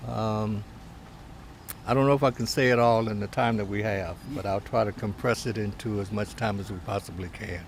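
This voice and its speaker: A somewhat breathy man with an American accent, fairly low in pitch, at a moderate pace with fairly even intonation. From Cleveland, Ohio, US. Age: 60s. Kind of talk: life story interview. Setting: seated at a table. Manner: hesitant, many fillers.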